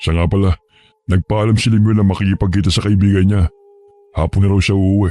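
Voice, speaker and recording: A man does a put-on character voice, fairly low in pitch and monotone, with flat intonation. He talks at a fairly quick pace yet leaves long, frequent pauses. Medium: read story.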